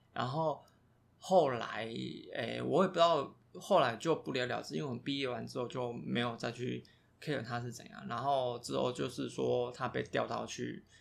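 A man with a Taiwanese accent at a moderate pace. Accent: Taiwanese Mandarin. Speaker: podcast co-host. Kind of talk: casual chat.

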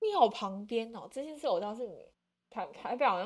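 A woman speaks at a moderate pace. Her pitch is fairly high and her intonation lively. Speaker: podcast host. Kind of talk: casual chat.

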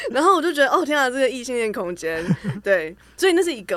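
A woman talks with very wide pitch swings. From Taiwan, Taichung. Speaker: writer and researcher. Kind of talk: casual chat. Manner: hesitant fillers.

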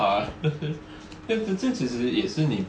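Amid noticeable background noise and audible room echo, a man with a Taiwanese accent speaks at a medium pitch with very wide pitch swings. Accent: Taiwanese Mandarin. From Taiwan, rural area. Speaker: podcast co-host. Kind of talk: casual chat.

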